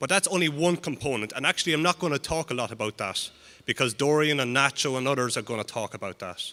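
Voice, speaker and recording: A man talks very fast in a fairly high, bright, sharp voice with lively intonation. The recording is very clean, silent in the background, and dry and close with no echo. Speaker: animal genetics researcher. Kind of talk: conference talk.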